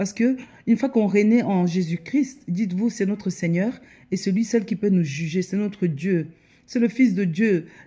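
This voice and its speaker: A woman with a Congolese accent speaks at a moderate pace and medium pitch, her voice somewhat breathy with a dark, mellow tone and ordinary pitch variation. The recording is very clean with a silent background. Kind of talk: religious exhortation to camera. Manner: hesitant with many fillers.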